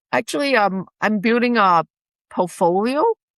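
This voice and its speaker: A woman speaks with a Chinese accent. The sound is dry and close with no echo, over a quiet background. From China. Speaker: realtor and investment dealer. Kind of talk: interview.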